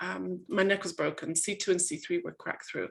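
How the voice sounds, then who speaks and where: A woman with an English accent at medium pitch and a moderate pace, over a quiet background. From England. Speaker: coach and author. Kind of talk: webinar talk. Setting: video call. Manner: hesitant, many fillers.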